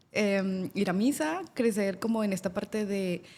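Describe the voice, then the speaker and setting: In a central Mexican accent, a woman with a medium pitch and a dark, mellow tone speaks at a very slow pace with ordinary pitch variation. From central Mexico (Querétaro/Guanajuato, rural). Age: 30s. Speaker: lawyer and migrant telling her story. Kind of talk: casual interview chat.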